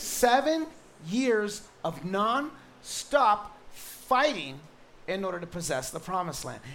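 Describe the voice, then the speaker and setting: A man speaks very slowly in a high voice, with very wide pitch swings and big swings in loudness. Room echo is audible. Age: 40s. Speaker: pastor. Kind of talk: sermon. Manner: animated.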